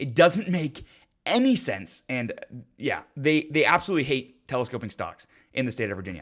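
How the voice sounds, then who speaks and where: A man's fairly high voice swings very widely in pitch, with vocal fry and an animated tone. He talks at a fairly quick pace in a very clean recording with a silent background. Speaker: gun rights commentator. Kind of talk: video commentary on legislation. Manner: fast.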